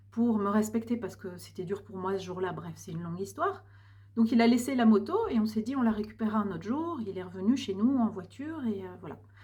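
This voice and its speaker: Amid noticeable background noise, a woman speaks at a fairly quick pace and fairly high pitch, with ordinary pitch variation and big swings in loudness. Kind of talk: personal vlog monologue. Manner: hesitant, many fillers.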